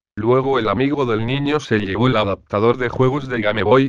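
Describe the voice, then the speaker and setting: A man with a normal speaking voice talks at a moderate pace with fairly even intonation, in a dry, close sound with no echo. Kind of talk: ghost story telling (creepypasta narration). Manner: flat, matter-of-fact storyteller's delivery.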